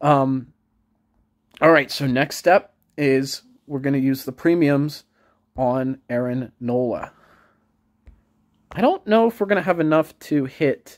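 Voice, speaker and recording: A man mumbles in a fairly high voice with ordinary pitch variation. Long, frequent pauses break up his speech, and the sound is dry and close with no echo. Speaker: mobile game YouTuber. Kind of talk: casual gameplay commentary. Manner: mumbling; hesitant, many fillers.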